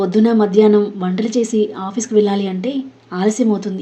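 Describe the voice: The text is read aloud plainly. Its intonation stays fairly even.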